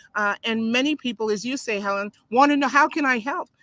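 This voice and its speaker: Her voice fairly high in pitch with ordinary pitch variation, a woman talks at a fairly quick pace in a bright, sharp, animated tone, the sound dry and close with no echo. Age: 70s. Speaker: pastor. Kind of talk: video call interview. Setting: live video stream. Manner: halting.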